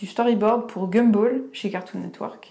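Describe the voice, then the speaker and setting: A woman talks very slowly, her pitch fairly high. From eastern France, Franche-Comté. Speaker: illustrator, comic artist. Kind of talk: casual interview chat.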